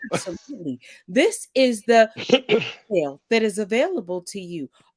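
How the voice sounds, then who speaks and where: A put-on robotic character voice speaks at a fairly high pitch and a moderate pace. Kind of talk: formal. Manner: polished, helpful, robotic-professional.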